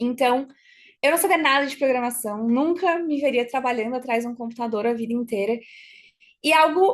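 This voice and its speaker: A woman speaks at a fairly quick pace. Her voice sits high in pitch. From Brazil, Florianópolis, Santa Catarina. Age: 20s. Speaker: robotics team member and workshop speaker. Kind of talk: online workshop talk.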